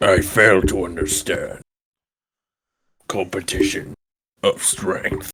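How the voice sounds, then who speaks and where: A man's put-on character voice, fairly low in pitch, very slow with long, frequent pauses, in a dry, close sound with no echo. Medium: actual play. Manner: terse, formal.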